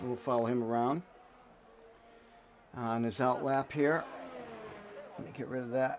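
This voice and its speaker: A man talks at a medium pitch. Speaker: sim racing league commentator. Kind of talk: live commentary. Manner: loud.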